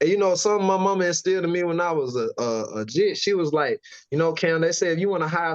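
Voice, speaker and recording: Here is a man with an American accent. He talks at a very fast pace and a high pitch. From US South, Valdosta, Georgia. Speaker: rapper. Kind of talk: casual interview.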